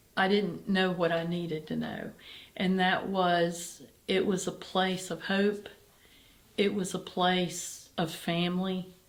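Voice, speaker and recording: A woman talking at a very slow pace, flat and monotone, with audible room echo. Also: medium pitch for a woman. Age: 60s. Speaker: charity executive director and cancer survivor. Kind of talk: interview.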